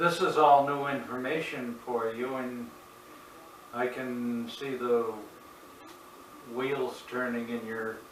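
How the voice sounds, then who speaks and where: A man of medium pitch with an American accent at a very slow pace, long, frequent pauses and fairly even intonation, amid audible room echo and noticeable background noise. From Massachusetts. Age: 70s. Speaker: religious video narrator. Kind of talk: monologue to camera. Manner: halting.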